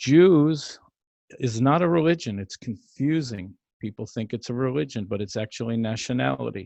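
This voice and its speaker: In an American accent, a plain, everyday voice moves at a moderate pace with lively intonation, the sound dry and close with no echo against a quiet background. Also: man, medium pitch for a man. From US Northeast, New York and New Jersey. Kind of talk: radio interview testimony.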